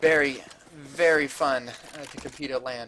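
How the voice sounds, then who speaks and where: A man's raised, projected voice over noticeable background noise. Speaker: esports caster. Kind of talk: casual chat; live commentary. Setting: LAN center, adjacent room to players. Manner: lowers voice at times.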